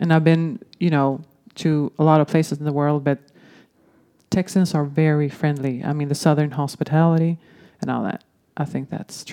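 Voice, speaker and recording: A woman's very deep, low voice, fairly even in intonation, at a moderate pace with long, frequent pauses, dry and close with no echo, on a very clean recording against a silent background. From Sweden. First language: Swedish. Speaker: former exchange student. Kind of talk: casual chat. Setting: studio.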